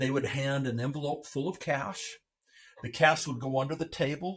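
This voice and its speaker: A man's fairly high, somewhat breathy voice moves at a moderate pace, its intonation fairly even. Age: 60s. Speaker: adoptive father. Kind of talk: interview testimony.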